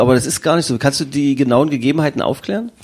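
A man with a plain, everyday voice, fairly high in pitch, speaks at a fairly quick pace with ordinary pitch variation. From Magdeburg, eastern Germany. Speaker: podcast host. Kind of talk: casual interview.

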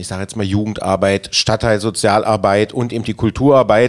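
A man talks at a fairly quick pace. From Magdeburg, Germany. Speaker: city councillor and festival organiser. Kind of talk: casual chat.

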